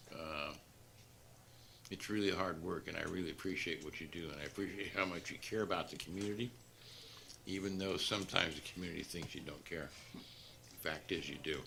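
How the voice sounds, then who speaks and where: In a room with audible echo, a man with a very deep, low pitch and a bright, sharp tone talks at a fairly quick pace with fairly even intonation and long, frequent pauses. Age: 70s. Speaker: city manager. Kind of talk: farewell remarks at council meeting. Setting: city council meeting.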